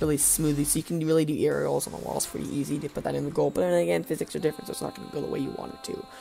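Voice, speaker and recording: Over music in the background, a man talks very fast with hardly any pauses. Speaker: gaming video creator. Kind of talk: casual commentary.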